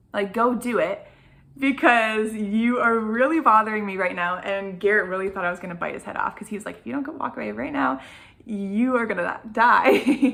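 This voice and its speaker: Her loudness swinging widely, a woman with a fairly high pitch and bright, sharp tone speaks with ordinary pitch variation. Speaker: vlogger. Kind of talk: casual chat. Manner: fast; animated.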